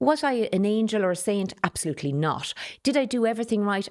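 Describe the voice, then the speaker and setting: A woman speaks with an Irish accent. The recording is very clean, with a silent background. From Ireland, Carlow. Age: 60s. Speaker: politician. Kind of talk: interview. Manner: direct.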